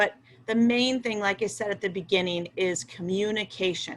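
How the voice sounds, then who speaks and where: A woman speaks at a moderate pace with fairly even intonation in an ordinary speaking voice. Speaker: school principal. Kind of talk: online Q&A presentation for parents.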